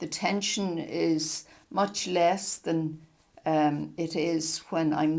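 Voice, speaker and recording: A woman's fairly low pitch at a very slow pace, with monotone, flat intonation. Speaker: crochet teacher. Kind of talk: tutorial.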